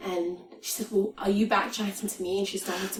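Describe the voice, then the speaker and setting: A woman at a medium pitch, flat and monotone, at a fairly quick pace, with noticeable background noise. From Afghanistan, raised in Britain from teens. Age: 20s. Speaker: political activist. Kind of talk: podcast interview. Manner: halting, many restarts.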